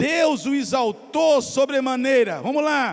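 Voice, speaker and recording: Animated in tone, a man speaks with a Brazilian accent. His pitch is extremely high. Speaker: pastor. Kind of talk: sermon, expository preaching during communion service. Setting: church. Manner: animated, urging, rhythmic call-and-response cadence ('Vamos lá'); emphatic, pausing to address congregation directly.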